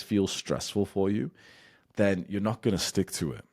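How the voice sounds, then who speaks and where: A man with a very deep, low pitch, vocal fry and an animated tone at a fairly quick pace, on a very clean recording with a silent background. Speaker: YouTuber and business coach. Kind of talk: casual one-take talking-head advice. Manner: unscripted, off the cuff with stumbles; animated, ranting.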